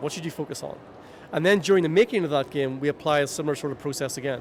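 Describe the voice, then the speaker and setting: Speaking with a Northern Irish accent, a man with a fairly high pitch talks at a very fast pace with lively intonation. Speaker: video game UX consultant. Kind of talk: interview. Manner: animated.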